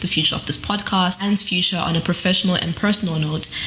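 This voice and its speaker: A very fast-paced woman's voice, medium in pitch with ordinary pitch variation, against noticeable background noise. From Zimbabwe. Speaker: guest podcast host, PhD student. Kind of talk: podcast hosting. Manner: scripted intro.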